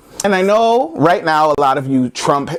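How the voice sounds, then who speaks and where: Speaking with an American accent, the man has a fairly high pitch and an animated tone. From United States. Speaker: comedy vlogger. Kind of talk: comedic rant to camera. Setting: friend's house. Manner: loud.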